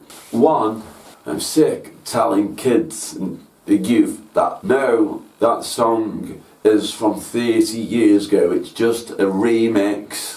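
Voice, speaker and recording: Against noticeable background noise, a man with a Staffordshire accent speaks very slowly. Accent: Stoke-on-Trent (Potteries). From Stoke-on-Trent, England. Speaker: music producer and show host. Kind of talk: scripted presentation.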